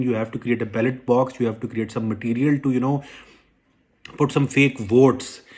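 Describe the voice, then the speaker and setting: A man with a Pakistani accent at a fairly quick pace, with fairly even intonation. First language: Urdu. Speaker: political commentator. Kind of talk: political monologue. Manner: halting, many repetitions and fillers; indignant, emphatic.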